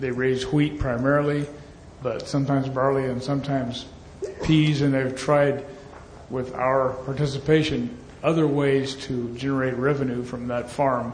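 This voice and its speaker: Noticeable background noise accompanies a monotone, flat voice at a moderate pace. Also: man. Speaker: audience member, engineer. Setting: conference hall with audience.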